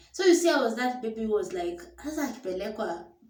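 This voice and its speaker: A woman speaks at a fairly high pitch with very wide pitch swings. Audible room echo surrounds her voice. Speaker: storyteller vlogger. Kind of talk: personal storytelling. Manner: casual, code-switching English and Swahili.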